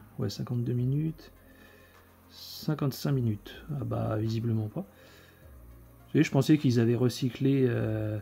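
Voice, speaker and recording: The speaker is a man with a medium pitch. Music plays in the background. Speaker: video collector reviewing film editions. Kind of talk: unboxing video. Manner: casual, hesitant with many fillers.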